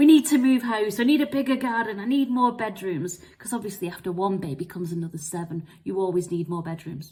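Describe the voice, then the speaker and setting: A woman with an English accent, somewhat breathy, at a medium pitch with lively intonation. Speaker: marketing vlogger. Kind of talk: personal storytelling vlog. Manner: fast.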